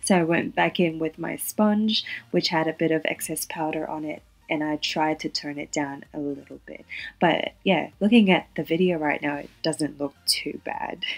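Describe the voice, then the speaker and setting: A woman speaks at a moderate pace in a very deep, low voice, with ordinary pitch variation. Her loudness swings widely. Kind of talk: makeup review voiceover. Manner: casual, friendly.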